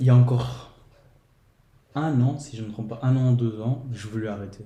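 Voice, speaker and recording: This man talks at a moderate pace with fairly even intonation. His pitch sits in the medium range. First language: Portuguese (speaking French). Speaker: podcast guest. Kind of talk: casual chat.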